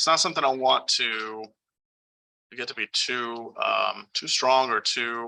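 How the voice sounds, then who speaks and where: A normal speaking voice from a man, medium in pitch, fairly slow, with fairly even intonation. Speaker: 3D rendering instructor. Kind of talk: tutorial. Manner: casual with many fillers.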